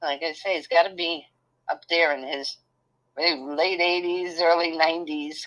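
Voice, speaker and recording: The delivery is fairly slow with monotone, flat intonation. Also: woman, fairly low pitch for a woman. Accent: Brooklyn. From New York City (Brooklyn). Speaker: channel host's mother. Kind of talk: casual chat.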